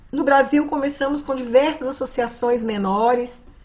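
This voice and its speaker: The voice has ordinary pitch variation, and audible room echo is present. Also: woman. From Brazil, Minas Gerais. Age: 70s. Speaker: psychologist and dance therapy facilitator. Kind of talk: conference talk. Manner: halting, with fillers.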